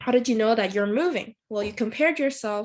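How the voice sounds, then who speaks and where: In a very clean recording with a silent background, a woman speaks. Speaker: volunteer teacher. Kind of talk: recorded lesson. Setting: pre-recorded video. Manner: halting, many fillers.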